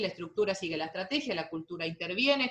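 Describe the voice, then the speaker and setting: A woman's voice with very wide pitch swings. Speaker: university lecturer. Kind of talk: lecture. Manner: fast.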